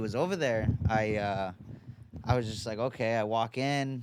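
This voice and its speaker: In a very clean recording with a silent background, a man with a New York accent talks at medium pitch with ordinary pitch variation. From New York, Long Island (Oceanside). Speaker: boxing coach. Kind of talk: casual chat. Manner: casual, halting with repetitions.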